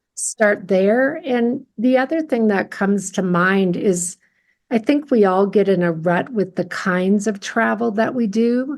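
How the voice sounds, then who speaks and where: At a fairly slow pace, a woman with an American accent and an unremarkable speaking voice talks at a medium pitch with ordinary pitch variation and very even loudness, in a very clean recording with a silent background. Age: 60s. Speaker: coach and therapist. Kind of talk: casual interview.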